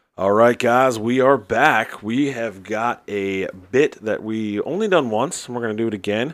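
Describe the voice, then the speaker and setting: A man with a plain, everyday voice and an American accent, medium pitch, ordinary pitch variation, moderate pace and hardly any pauses. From New Jersey. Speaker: podcast host. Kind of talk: casual chat. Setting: studio.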